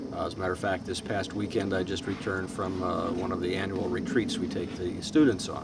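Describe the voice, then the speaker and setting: With noticeable background noise and audible room echo, a man speaks with ordinary pitch variation. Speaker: teacher. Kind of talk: casual chat.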